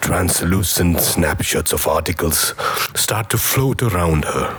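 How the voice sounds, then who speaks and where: A man with a very deep, low pitch and lively intonation at a fairly slow pace, with noticeable background noise. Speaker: voice actor. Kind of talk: TV commercial read.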